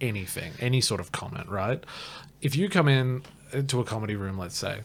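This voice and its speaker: A man with an Australian accent, medium in pitch, with lively intonation. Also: fairly quick pace. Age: 30s. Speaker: stand-up comedian. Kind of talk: casual podcast chat.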